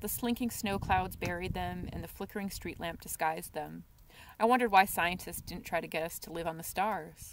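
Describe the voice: Someone reads the words out plainly.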